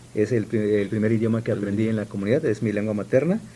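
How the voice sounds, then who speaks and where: This man speaks at a medium pitch with an Oaxacan accent. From Sierra Juárez, Oaxaca, Mexico (Zapotec village). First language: Zapotec (speaking Spanish). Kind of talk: radio interview.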